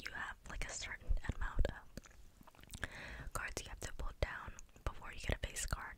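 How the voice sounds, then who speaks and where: A woman whispers at a moderate pace. Noticeable background noise can be heard. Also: dry sound with no echo. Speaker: content creator. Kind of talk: casual vlog chat, soft ASMR-style talk. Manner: close articulated ASMR whisper. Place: home room. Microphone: studio mic.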